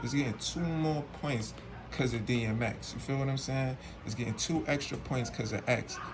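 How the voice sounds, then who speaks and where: Recorded with audible room echo and noticeable background noise, a man of medium pitch speaks at a moderate pace. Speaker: streetwear unboxing reviewer. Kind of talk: casual unboxing review. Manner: slurred; animated.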